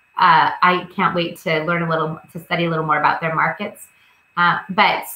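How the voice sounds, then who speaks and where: Speaking in a monotone with flat intonation, a woman holds a fairly low pitch. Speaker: realtor. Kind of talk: seminar presentation.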